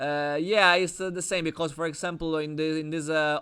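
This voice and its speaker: A man speaks with an Italian accent in a bright, sharp tone. His intonation stays fairly even. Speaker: chess coach. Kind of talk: online chess lesson. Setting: video call. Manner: halting.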